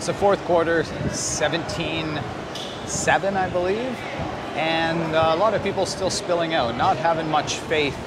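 Against loud background noise, a man talks at a very slow pace with long, frequent pauses. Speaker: travel vlogger. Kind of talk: casual vlog chat. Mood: joking, playful. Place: stadium. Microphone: phone near.

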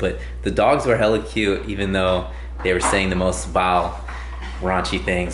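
A man speaks with audible echo from the room. Light background noise sits underneath. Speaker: vlogger. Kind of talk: casual vlog chat. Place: home room. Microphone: phone near.

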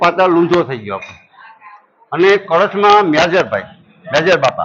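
A man talks with ordinary pitch variation. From Saurashtra, Gujarat (Porbandar area village). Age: 50s. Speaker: villager at religious fair. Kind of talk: interview storytelling.

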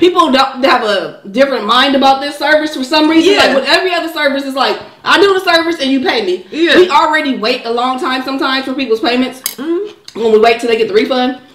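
Amid audible room echo and light background noise, a woman with high pitch rattles along at a very fast pace in a playful tone, with hardly any pauses. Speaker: mukbang co-host. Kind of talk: mukbang conversation with partner. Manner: playful, casual. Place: kitchen. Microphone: camera far.

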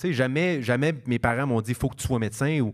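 A man speaks at a fairly quick pace against a quiet background. His pitch variation is ordinary. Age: 30s. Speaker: stand-up comedian; podcast guest, comedian. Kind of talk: casual interview chat. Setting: stage with live audience. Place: stage. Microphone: handheld.

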